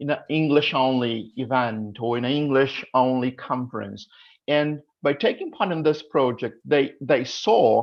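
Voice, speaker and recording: Fairly slow delivery in a Portuguese accent. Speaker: English teaching association representative. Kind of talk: panel discussion.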